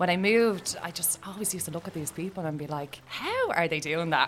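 A woman's fairly low voice with lively intonation, amid noticeable background noise. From Ireland, Dublin (Tallaght). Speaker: sea swimmer. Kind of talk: interview.

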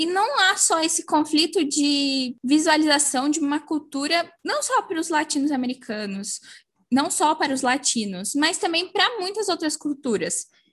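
Lively intonation in a woman's high-pitched voice. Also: moderate pace. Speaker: podcast co-host. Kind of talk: casual chat.

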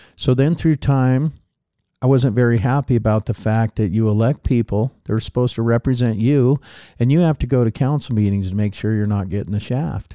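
A man with an American accent, a dark, mellow tone and a medium pitch with ordinary variation, at a fairly quick pace, in a dry, close sound with no echo and a very clean, silent background. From Reno, Nevada. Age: 50s. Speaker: city council candidate. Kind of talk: interview.

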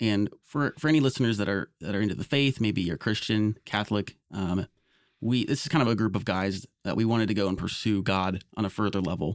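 A man's unremarkable speaking voice, fairly low in pitch with ordinary pitch variation and a fairly quick pace, dry and close with no echo in a very clean recording against a silent background. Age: 20s. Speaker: podcast co-host. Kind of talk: casual chat.

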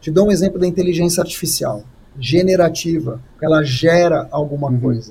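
The man's voice sits fairly high in pitch yet has a dark, mellow tone. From Brazil. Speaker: communication strategist and speaker. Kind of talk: live-streamed interview.

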